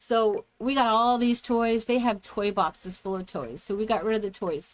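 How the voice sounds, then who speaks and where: A woman with an ordinary speaking voice, fairly high in pitch, at a moderate pace. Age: 60s. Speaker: gaming YouTuber. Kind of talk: voice-over gameplay commentary. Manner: casual, meandering.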